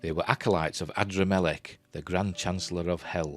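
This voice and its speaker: With music in the background, a man with a Yorkshire accent speaks at a moderate pace in a very deep, low pitch. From Yorkshire, England. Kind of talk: script treatment reading.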